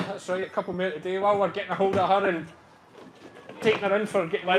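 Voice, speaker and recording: A man's high-pitched, very fast voice in a strong Ayrshire Scottish accent, monotone and flat, with noticeable background noise. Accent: broad Ayrshire Scottish. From Ayrshire, Scotland. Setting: outdoors with animals, farm.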